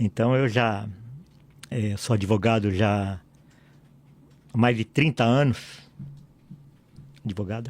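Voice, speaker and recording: A man speaks at a very slow pace, leaving long, frequent pauses. His intonation is fairly even. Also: medium pitch for a man. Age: 60s. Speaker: pastor and lawyer. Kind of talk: podcast interview.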